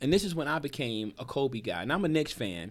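In a normal speaking voice, a man talks at a moderate pace with lively intonation and an American accent. The recording is very clean with a silent background. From New Jersey. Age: 40s. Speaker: podcast host, comedian. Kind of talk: casual chat.

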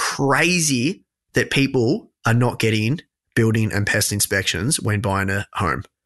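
Speaking at a medium pitch, a man with an Australian accent uses lively intonation. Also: fairly slow pace. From regional Victoria, Australia. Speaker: personal finance podcaster. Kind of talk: casual interview.

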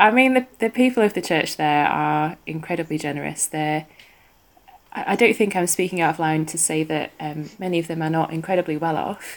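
A woman speaks with a northern English accent. Her pace is fairly quick. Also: fairly low pitch for a woman, ordinary pitch variation. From northwest England. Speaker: theology student. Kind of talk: interview, casual chat.

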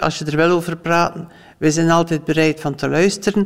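Amid noticeable background noise, a woman speaks at a moderate pace in a fairly low pitch. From West Flanders, Belgium. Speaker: former foster parent. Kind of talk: interview testimony.

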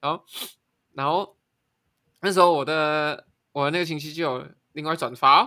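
A bright, sharp tone at a moderate pace, in a very clean recording with a silent background. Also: man. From Malaysia. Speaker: podcast co-host. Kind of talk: casual chat. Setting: face-to-face studio recording.

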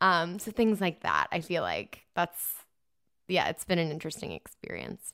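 A woman's bright, sharp voice at a fairly low pitch, with vocal fry and a moderate pace. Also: ordinary pitch variation. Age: 30s. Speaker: podcast host. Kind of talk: casual chat.

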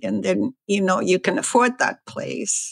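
This woman's voice has vocal fry. She talks at a fairly slow pace. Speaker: former bank teller. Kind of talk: interview testimony.

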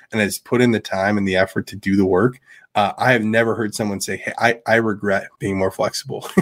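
A man with a fairly low pitch and fairly even intonation speaks in an unremarkable speaking voice on a very clean recording with a silent background. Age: 30s. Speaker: podcast co-host. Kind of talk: casual chat.

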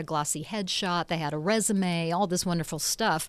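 A woman speaks at a fairly quick pace. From England, raised in Nashville from age five. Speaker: TV host and singer. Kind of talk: casual chat.

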